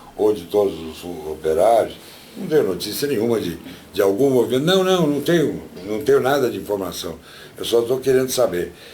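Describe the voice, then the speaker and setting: A man speaks with lively intonation. Noticeable background noise and audible room echo fill the recording. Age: 70s. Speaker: industrialist testifying. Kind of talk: testimony. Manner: halting, many repetitions.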